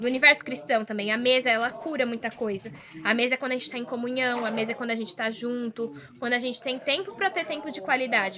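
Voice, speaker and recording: Speaking at a very fast pace, a woman talks in a rural Brazilian accent. Her pitch is high, and there is noticeable background noise. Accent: rural Brazilian, sing-song. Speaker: model and social media worker, volunteer. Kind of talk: casual chat. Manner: sing-song intonation; expressive.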